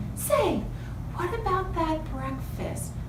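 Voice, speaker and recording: A woman performs a put-on character voice. There is a slight echo and loud background noise. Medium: read story.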